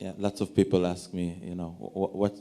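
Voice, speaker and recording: A man talks at a fairly quick pace in an Israeli accent. His tone is dark and mellow. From Israel, Tel Aviv. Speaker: lawyer. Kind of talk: panel discussion.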